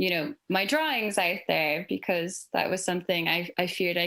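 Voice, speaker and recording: A woman with an Irish accent, fairly low in pitch, bright and sharp in tone, on a very clean recording with a silent background. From Ireland. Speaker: creative in advertising. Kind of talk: panel discussion.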